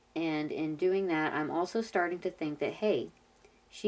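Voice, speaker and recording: Her pace is moderate. This woman's pitch shows ordinary variation. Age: 40s. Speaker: reddit story narrator. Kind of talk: reading aloud with reactions.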